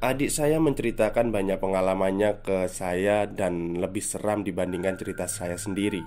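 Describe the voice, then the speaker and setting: A man's very deep, low voice with ordinary pitch variation, a moderate pace and hardly any pauses, over noticeable background noise. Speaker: podcast host reading a listener's story. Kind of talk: horror storytelling narration. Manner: first-person narration with casual host asides.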